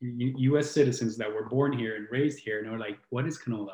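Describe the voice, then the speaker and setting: Somewhat breathy, a man at medium pitch talks at a fairly quick pace with fairly even intonation. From southern Italy (Brindisi, Puglia). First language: Italian. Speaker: healing coach and musician. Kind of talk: casual chat.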